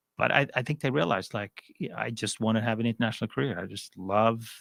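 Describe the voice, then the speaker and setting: On a very clean recording with a silent background, a man talks at a very fast pace in a fairly low pitch with fairly even intonation. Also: dry, close sound with no echo. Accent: Swedish. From Sweden. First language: Swedish. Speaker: finance executive. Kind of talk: interview.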